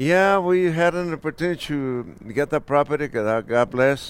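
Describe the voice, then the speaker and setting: In a Mexican accent, a man speaks fairly slowly with lively intonation. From Michoacán, Mexico. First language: Spanish. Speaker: restaurant owner. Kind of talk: casual interview. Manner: halting; soft-spoken.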